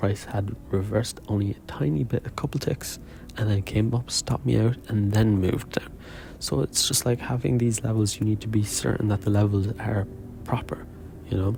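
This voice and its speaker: A soft-spoken man talks at a moderate pace with a fairly low pitch. His loudness stays very even, and his pitch varies in an ordinary way. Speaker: day trader. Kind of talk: video diary. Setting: quiet room.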